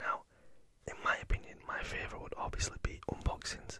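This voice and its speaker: Whispering is heard over noticeable background noise. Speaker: ASMR creator. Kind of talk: casual Q&A talk to camera. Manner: whispered.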